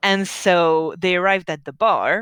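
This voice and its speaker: This speaker has a bright, sharp tone and talks at a very slow pace. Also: woman. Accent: French. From France. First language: French. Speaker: tabletop game master. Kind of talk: game session recap. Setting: live stream.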